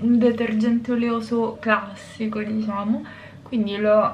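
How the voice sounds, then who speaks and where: The speech moves at a very slow pace in a monotone, flat intonation, with light background noise. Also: woman. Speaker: beauty vlogger. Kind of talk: tutorial. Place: bathroom.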